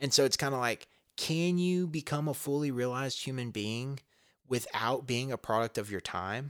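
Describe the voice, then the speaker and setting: With an American accent, a man speaks at a moderate pace and medium pitch, with ordinary pitch variation, in a plain, everyday voice. The sound is dry and close with no echo, a very clean recording with a silent background. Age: 30s. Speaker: podcast host. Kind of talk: casual chat.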